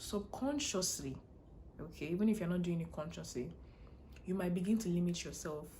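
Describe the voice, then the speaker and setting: In a strong Nigerian accent, a woman speaks fairly quickly in a fairly low pitch with lively intonation, and room echo is audible. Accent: heavy Nigerian. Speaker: international student blogger. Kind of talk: casual vlog advice talk. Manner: fast, runs words together.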